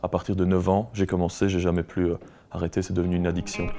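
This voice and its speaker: With a Belgian accent, a man talks at a very fast pace in a very deep, low pitch and a dark, mellow tone over a quiet background. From Belgium, Luxembourg province (Wallonia). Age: 20s. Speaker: rock musician. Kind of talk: interview. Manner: hesitant, many fillers.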